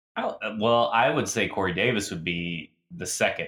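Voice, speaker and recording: A man's bright, sharp tone. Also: very clean recording, silent background. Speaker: podcast host and football fan. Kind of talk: casual podcast chat.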